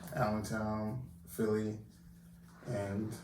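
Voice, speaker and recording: A man with an American accent at a fairly low pitch, ordinary pitch variation, audible room echo, and noticeable background noise. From Jamaica, Kingston; US East Coast from age nine. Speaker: chef. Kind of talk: casual interview.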